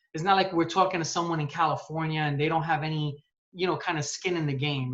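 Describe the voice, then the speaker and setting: A very fast pace in a New York accent. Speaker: sales account manager. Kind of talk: casual interview. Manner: animated.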